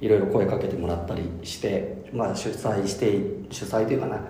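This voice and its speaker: Very rapid male speech amid noticeable background noise and audible room echo. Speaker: podcast host. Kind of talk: casual chat.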